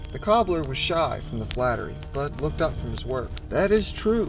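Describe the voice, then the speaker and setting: Music plays in the background as this man talks at a moderate pace. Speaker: storyteller. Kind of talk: folk tale narration.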